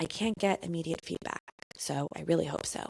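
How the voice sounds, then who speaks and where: Recorded very cleanly against a silent background, the dry, close sound carries no echo as the speaker talks at a moderate pace in an animated tone with lively intonation. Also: woman. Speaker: podcast host. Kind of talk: solo podcast monologue.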